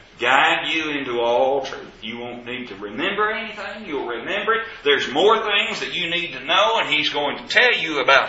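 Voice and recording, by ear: Speaking with a Southern US accent, a man with a fairly high pitch and bright, sharp tone uses lively intonation and few pauses against strong room echo. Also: moderate pace.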